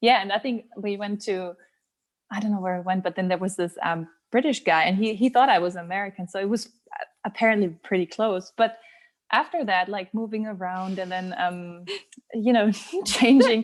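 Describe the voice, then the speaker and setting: The woman's voice sits at a medium pitch with ordinary variation, at a moderate pace. The background is quiet. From southern Germany. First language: German. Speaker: blogger. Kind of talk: casual chat.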